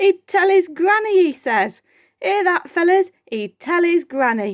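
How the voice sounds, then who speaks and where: In a put-on character voice, the speaker cackles and talks at a fairly slow pace. The pitch swings very widely. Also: woman, extremely high pitch for a woman. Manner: cackling, jeering.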